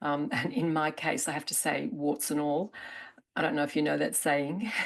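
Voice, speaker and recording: Her voice very deep and low, a woman with an Australian accent uses lively intonation at very even loudness. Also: moderate pace. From Australia, Melbourne. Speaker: therapist presenter. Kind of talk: conference promo chat.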